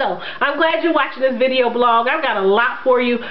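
A woman talks at a fairly quick pace. Her pitch is high, with ordinary variation.

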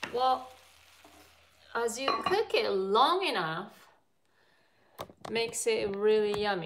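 A woman with a Japanese accent talks at a very slow pace, with very wide pitch swings, long, frequent pauses and noticeable background noise. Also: fairly high pitch for a woman. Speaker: cooking vlogger doing a livestream. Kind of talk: casual live-stream cooking chat with viewers. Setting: live stream from a home kitchen. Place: kitchen. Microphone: phone near.

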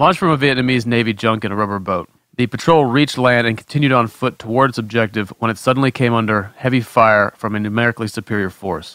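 With hardly any pauses, a man talks at a very fast pace in a bright, sharp, medium-pitched voice with ordinary pitch variation. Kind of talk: reading aloud.

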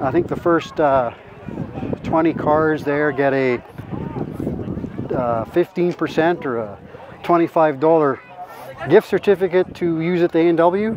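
A man speaking very slowly with long, frequent pauses, ordinary pitch variation, dry sound with no echo and noticeable background noise. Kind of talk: casual walkaround commentary. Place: open country. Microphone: phone near.

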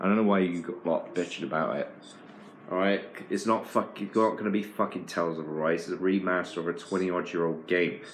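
A man's very deep, low voice in a British accent, fairly quick in pace and fairly even in intonation, with light background noise. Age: 40s. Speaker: gaming video creator. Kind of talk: casual rant. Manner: halting, repeats words. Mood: irritated, ranting. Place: home room. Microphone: phone near.

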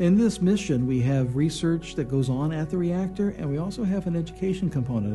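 A man talks at a fairly quick pace. Clear music is in the background. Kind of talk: interview answer. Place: studio.

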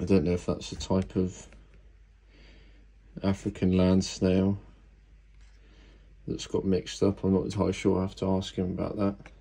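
In a very deep, low voice with a dark, mellow tone, a man speaks flatly at a moderate pace, taking long, frequent pauses. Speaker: exotic pet keeper. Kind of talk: casual unboxing talk to camera. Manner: grumpy. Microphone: phone near.

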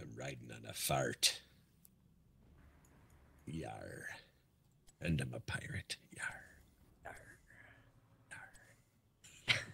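Whispering in a put-on character voice, the speaker goes at a very slow pace with long, frequent pauses. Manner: comic, growling.

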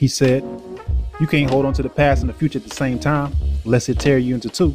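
There is music in the background. A man speaks at a fairly quick pace. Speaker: spoken word poet. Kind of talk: spoken word poetry performance over music. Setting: music bed behind voice.

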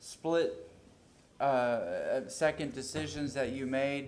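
A man with an American accent speaks at a fairly high pitch. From Tampa, Florida. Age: 30s. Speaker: city council member. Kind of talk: public meeting remarks. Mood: warm, admiring. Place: hall. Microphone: podium.

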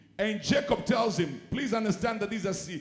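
A man speaks fairly quickly in a high voice with ordinary pitch movement. The room echoes audibly, but the background is otherwise quiet. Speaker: preacher. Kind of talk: sermon. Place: church. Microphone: handheld.

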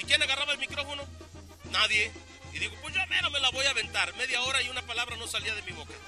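Over clear background music, a man talks at a very fast pace. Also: dry sound with no echo. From Mexico. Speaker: rodeo announcer. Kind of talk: interview answer. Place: open country. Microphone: handheld.

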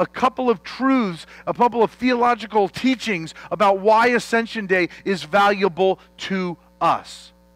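Music in the background behind a man's high voice, fairly slow in pace with ordinary pitch variation and a dry sound with no echo. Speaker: preacher. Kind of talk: sermon. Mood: playful, joking opening. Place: church.

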